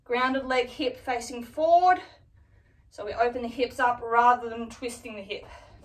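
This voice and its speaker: At a moderate pace, a woman's high voice shows ordinary pitch variation and big swings in loudness. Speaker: fitness instructor. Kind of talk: tutorial. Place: home room. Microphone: camera far.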